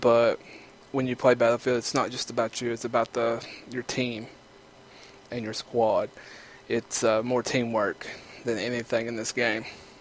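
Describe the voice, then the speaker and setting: A man with an Eastern Kentucky accent, medium pitch and monotone, flat intonation, at a moderate pace with long, frequent pauses. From Eastern Kentucky, rural US South. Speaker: gaming YouTuber. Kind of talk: gameplay commentary. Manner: casual, filler-heavy.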